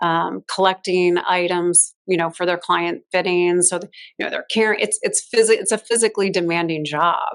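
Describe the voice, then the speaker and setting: Speaking with an American accent, a woman uses an unremarkable speaking voice at medium pitch. She keeps a moderate pace, fairly even intonation, and hardly any pauses. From Chicago, US Midwest. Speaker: fashion stylist. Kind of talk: interview conversation.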